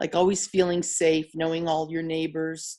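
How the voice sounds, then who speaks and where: A woman with an American accent speaks in a dark, mellow tone at a fairly low pitch. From northeastern Pennsylvania, Mountaintop. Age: 60s. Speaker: interviewee, local resident. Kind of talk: interview.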